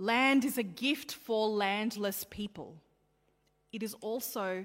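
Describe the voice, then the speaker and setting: Here a woman talks with an Australian accent. Her pitch sits in the medium range. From Australia, child of Sri Lankan Tamil migrants. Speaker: pastor. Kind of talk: sermon.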